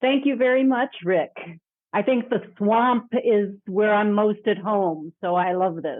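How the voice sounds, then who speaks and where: In an ordinary speaking voice, a woman talks at a fairly slow pace with a medium pitch, ordinary pitch variation and very even loudness. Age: 60s. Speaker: leadership development executive. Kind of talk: podcast interview.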